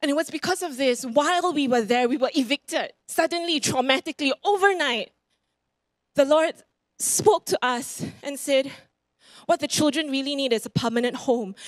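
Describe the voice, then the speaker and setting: A woman with a Singaporean accent speaks in an animated tone at a high pitch and moderate pace, with ordinary pitch variation, in dry sound with no echo and a quiet background. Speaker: preacher. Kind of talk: sermon. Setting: church. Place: church. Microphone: handheld.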